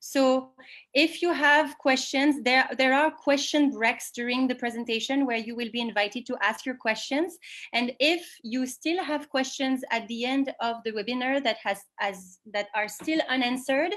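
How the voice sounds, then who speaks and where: Someone speaks in a French accent at a moderate pace. Pitch variation is ordinary. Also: woman, high pitch for a woman. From France. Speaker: sustainability director giving a webinar. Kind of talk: webinar presentation. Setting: online video call.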